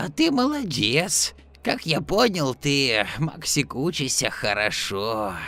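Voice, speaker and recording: Using a put-on character voice, a man talks at a fairly slow pace over clear background noise. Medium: audio drama. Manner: friendly, confident.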